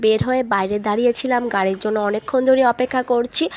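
Recorded with a dry, close sound and no echo, a female speaker talks at a high pitch. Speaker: lifestyle vlogger. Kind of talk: vlog narration.

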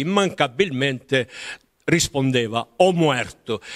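Against a quiet background, a man speaks at a very slow pace. His intonation is lively. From southern Italy, Apulia (near Taranto); Apulia, Italy. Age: 80s+. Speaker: author, retired teacher; retired teacher. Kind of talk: interview. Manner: halting, with many repetitions. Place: home room. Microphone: handheld.

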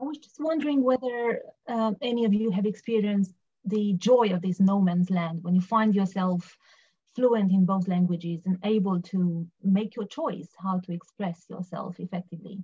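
A woman with a Romanian accent speaks at a moderate pace in a somewhat breathy, dark, mellow tone, with ordinary pitch variation and big swings in loudness. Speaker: poet. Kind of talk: panel discussion and poetry reading. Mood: calm, reflective. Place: home room. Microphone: webcam.

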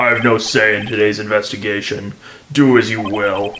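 Using a put-on character voice, a man sounds raspy at a fairly low pitch. His intonation is monotone and flat, at a moderate pace. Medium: game stream. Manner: formal, clipped.

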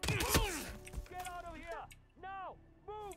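An extremely high-pitched, put-on character voice plays over sound effects in the background. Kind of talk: military orders. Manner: shouted, urgent, commanding.

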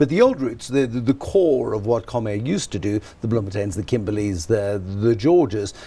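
A man speaks with a dark, mellow tone at a fairly low pitch. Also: ordinary pitch variation, moderate pace.

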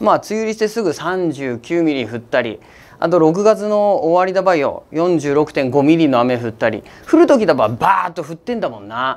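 A man speaks with an Akita accent at a high pitch and a very fast pace. His pitch swings very widely. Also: big swings in loudness. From Akita, Japan. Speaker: weather forecaster. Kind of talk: casual weather forecast talk to camera. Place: studio. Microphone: lapel.

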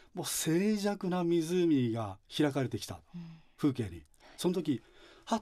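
A man's dark, mellow, somewhat breathy voice at a moderate pace, with very wide pitch swings, over a quiet background. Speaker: religious facility director; guest. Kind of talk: radio interview. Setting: studio. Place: studio.

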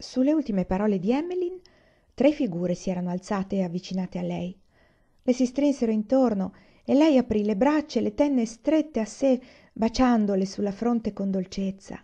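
Over a quiet background, a somewhat breathy voice with a dark, mellow, solemn and dramatic tone moves at a fairly quick pace with lively intonation and long, frequent pauses. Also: woman, fairly high pitch for a woman.

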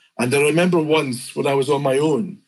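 A somewhat breathy voice speaking at a moderate pace. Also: man. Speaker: fantasy illustrator. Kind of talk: interview answer.

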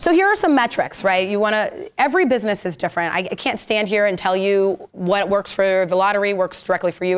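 Speaking at a very fast pace, a woman delivers the words. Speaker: social media marketing speaker; speaker. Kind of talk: presentation to a live audience. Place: meeting room.

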